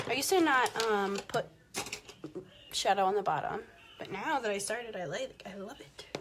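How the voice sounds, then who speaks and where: A woman with a fairly high pitch speaks at a moderate pace with very wide pitch swings, big swings in loudness, and long, frequent pauses, over noticeable background noise. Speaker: makeup vlogger. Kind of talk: live makeup tutorial. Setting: livestream.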